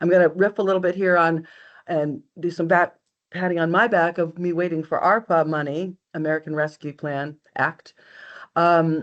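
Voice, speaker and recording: In a quiet background, a woman with a plain, everyday voice speaks at a fairly low pitch and moderate pace with fairly even intonation. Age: 60s. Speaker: county register of deeds. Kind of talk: webinar presentation.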